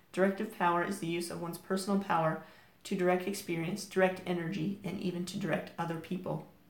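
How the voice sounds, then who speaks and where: Amid audible room echo, a woman speaks at a fairly quick pace and medium pitch with monotone, flat intonation. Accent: American. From United States. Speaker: crystal healing teacher. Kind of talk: reading aloud from crystal card guidebook.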